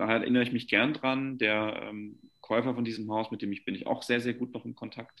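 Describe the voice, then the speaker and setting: Speaking fairly quickly, a man keeps a medium pitch and a monotone, flat intonation over a quiet background. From Franconia, Germany (Nuremberg). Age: 20s. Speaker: luxury real estate agent. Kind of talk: casual interview.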